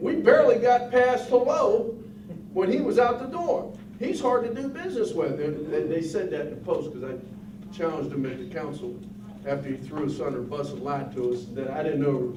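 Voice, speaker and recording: A man talks at a fairly quick pace with an American accent. Noticeable background noise and audible room echo fill the recording. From Pittsburgh, US. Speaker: union president. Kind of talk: union meeting talk to members. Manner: animated.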